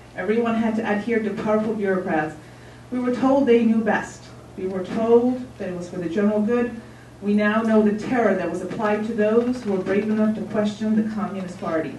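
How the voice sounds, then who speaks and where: With noticeable background noise and audible room echo, the speaker goes at a fairly quick pace with fairly even intonation. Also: woman, fairly high pitch for a woman. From Czechoslovakia, Ostrava. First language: Czech. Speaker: member of the public testifying. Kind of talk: public hearing testimony. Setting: city council hearing. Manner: formal, read from prepared text.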